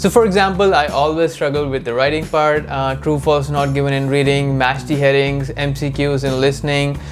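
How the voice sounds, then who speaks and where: Music plays in the background as a man with a fairly high pitch talks at a fairly quick pace with hardly any pauses. Audible room echo surrounds his voice. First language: not English. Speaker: immigration vlogger. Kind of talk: casual advice talk. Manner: conversational with fillers.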